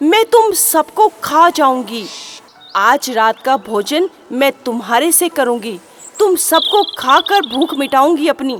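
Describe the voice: A woman puts on a character voice, high-pitched and fairly bright in tone. She talks at a slow pace with big pitch swings.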